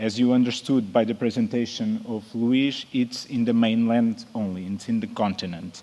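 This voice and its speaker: Barely pausing, a man with a non-native accent speaks at a medium pitch with fairly even intonation. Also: moderate pace. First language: Portuguese. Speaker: emergency nurse. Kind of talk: conference presentation. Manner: halting.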